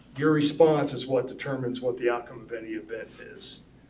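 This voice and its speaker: Speaking at a moderate pace, a man with a fairly high pitch is heard with audible room echo. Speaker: school staff presenter. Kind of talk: presentation to school board. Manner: mumbling.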